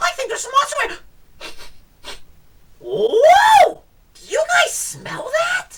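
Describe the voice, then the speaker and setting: An exaggerated, put-on character voice pitched extremely high, delivered very slowly. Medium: read story. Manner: eager, excitable.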